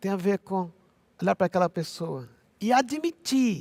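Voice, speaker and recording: The sound is dry and close, with no echo. A man speaks high-pitched and fairly slowly. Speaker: pastor. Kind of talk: sermon. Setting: recorded message for church.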